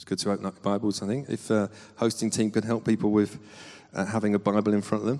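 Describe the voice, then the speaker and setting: A man with a London accent speaks at a very fast pace in a dark, mellow tone. His pitch is fairly low and his intonation monotone and flat. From England, Southall (west London). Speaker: pastor. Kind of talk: sermon. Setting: church.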